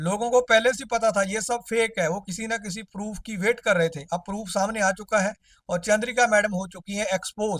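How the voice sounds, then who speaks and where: A man with a non-native accent speaks in a high pitch with fairly even intonation. The sound is dry and close, with no echo. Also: moderate pace. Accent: non-native Hindi accent, still learning. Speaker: roast commentator YouTuber. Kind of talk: comedic roast commentary.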